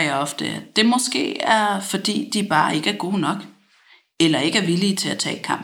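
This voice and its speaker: On a very clean recording with a silent background, the words unfold at a moderate pace. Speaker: reader of a fictional letter. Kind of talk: reading aloud.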